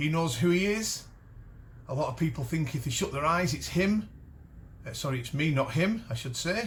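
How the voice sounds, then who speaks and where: Audible room echo surrounds a man's fairly high-pitched voice. He talks at a fairly quick pace with lively intonation. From Cumbria, northern England. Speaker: metal detecting channel host. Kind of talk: casual talk to camera. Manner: halting, many false starts and fillers.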